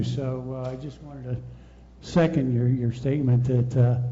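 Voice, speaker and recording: A man's somewhat breathy voice at medium pitch and moderate pace, with audible room echo. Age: 70s. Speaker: audience member. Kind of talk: audience comment.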